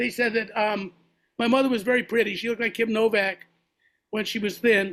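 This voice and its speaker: Bright and sharp, the voice moves at a fairly quick pace with an American accent and monotone, flat intonation. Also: man. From Massachusetts, Boston area. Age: 70s. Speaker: jazz musician and podcast host. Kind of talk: casual interview conversation.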